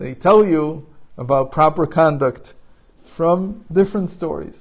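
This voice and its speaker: A man with an Israeli accent, fairly high in pitch, at a fairly slow pace with ordinary pitch variation. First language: Hebrew. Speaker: spiritual teacher. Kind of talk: informal talk.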